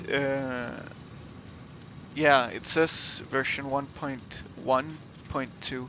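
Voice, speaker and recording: Very slowly and with long, frequent pauses, a man with a fairly high pitch speaks in a monotone, flat way, with noticeable background noise and audible room echo. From Denmark. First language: Danish. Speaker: gaming streamer. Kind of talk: live gameplay commentary. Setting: livestream. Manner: hesitant, many fillers.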